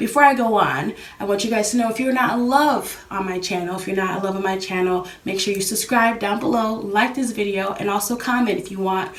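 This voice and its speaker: A woman's very fast speech with fairly even intonation, amid noticeable background noise and audible room echo. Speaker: YouTuber. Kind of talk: casual talk to camera. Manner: hesitant with fillers.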